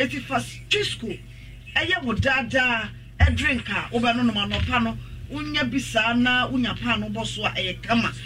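Over noticeable background noise, a man speaks at a moderate pace in a Ghanaian accent. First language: Twi. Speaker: radio announcer. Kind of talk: radio advertisement.

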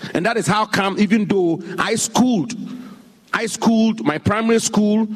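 Over noticeable background noise, a man talks at a high pitch and moderate pace. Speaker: government minister. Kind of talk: political speech. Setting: stage with audience. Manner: emphatic.

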